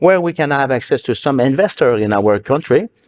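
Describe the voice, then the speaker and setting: Against a quiet background, a man with a Quebec accent and a medium pitch speaks with lively intonation in a dry, close sound with no echo. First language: French. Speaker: business association leader. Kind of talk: panel discussion. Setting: stage with audience. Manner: halting.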